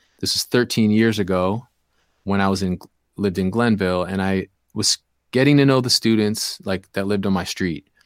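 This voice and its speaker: A man with a Midwestern American accent and fairly low pitch speaks at a fairly quick pace with fairly even intonation. The recording is very clean, with a silent background and a dry, close sound with no echo. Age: 40s. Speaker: hip-hop DJ and youth program leader. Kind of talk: casual interview chat.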